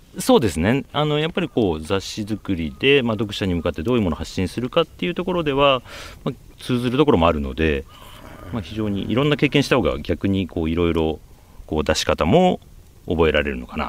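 The speech runs at a fairly quick pace with very wide pitch swings. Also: man, fairly low pitch for a man. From Japan, Aichi (Nagoya suburbs). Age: 50s. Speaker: magazine editor-in-chief. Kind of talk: interview.

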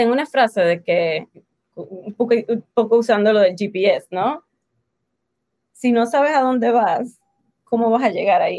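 A woman's fairly high voice at a fairly slow pace, with long, frequent pauses, ordinary pitch variation, and a dry, close sound with no echo. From Puerto Rico. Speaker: life and business coach. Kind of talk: interview.

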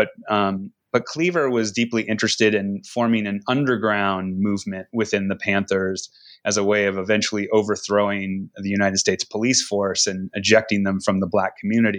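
A man with an American accent has an ordinary speaking voice and a fairly low pitch. He talks at a fairly quick pace with fairly even intonation. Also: very clean recording, silent background. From Seattle, US Pacific Northwest. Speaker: English professor and author. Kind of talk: interview. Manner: frequent fillers (um, uh).

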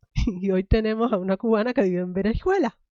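A woman talks at a fairly quick pace in a medium pitch, her tone dark and mellow, in a dry, close sound with no echo. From Cuba. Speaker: podcast host. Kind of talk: interview podcast.

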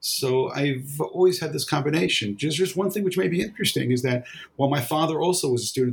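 Somewhat breathy and fairly quick, this speaker has lively intonation and a New York accent. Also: man. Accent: New York American. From New York (Brooklyn). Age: 60s. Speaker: rabbi and author. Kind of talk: interview. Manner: halting.

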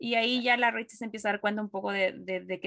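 Against a quiet background, a woman talks at a fairly quick pace with a bright, sharp tone and a dry, close sound with no echo. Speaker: film and TV podcast co-host. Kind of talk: casual chat.

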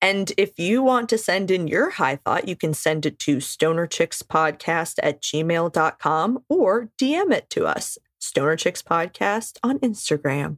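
A plain, everyday voice with lively intonation talks at a fairly slow pace. The sound is dry and close, with no echo. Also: woman, medium pitch for a woman. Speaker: podcast co-host. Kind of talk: casual chat.

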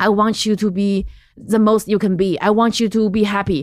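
At a fairly quick pace, a woman with a medium-pitched voice speaks in a Chinese accent. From central China. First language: Mandarin Chinese. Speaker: comedian. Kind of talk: casual chat.

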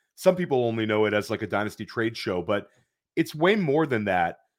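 A man with an unremarkable speaking voice talks at a medium pitch and a fairly quick pace on a very clean recording with a silent background. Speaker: podcast host. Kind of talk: casual chat about fantasy football.

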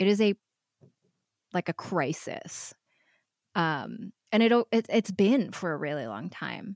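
With an American accent and lively intonation, a woman talks at a very slow pace with vocal fry and long, frequent pauses, the sound dry and close with no echo. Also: medium pitch for a woman, very clean recording, silent background. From US Midwest, Metro Detroit suburbs. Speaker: writer and improviser. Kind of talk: casual chat.

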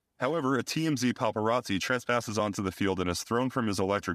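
Very fast, animated, theatrical delivery from a man, on a very clean recording with a silent background. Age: 30s. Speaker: podcast host. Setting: interview recorded in a taproom. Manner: animated, tongue-in-cheek, theatrical announcer delivery.

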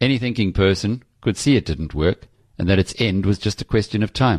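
A man's fairly low voice, fairly quick and lively in intonation, dry and close with no echo over a quiet background. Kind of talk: audiobook narration. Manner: measured, formal, solemn; dramatic, grave opening.

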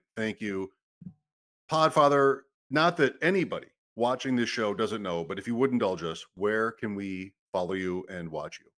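In a normal speaking voice, a man talks at a moderate pace with fairly low pitch and lively intonation. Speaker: podcast host. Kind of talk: casual chat.

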